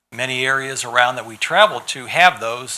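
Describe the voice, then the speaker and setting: At a fairly quick pace, a man with a Midwestern US accent speaks at a medium pitch. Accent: US Midwest. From St. Louis County, Missouri. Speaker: public commenter, speed skater. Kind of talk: public hearing testimony.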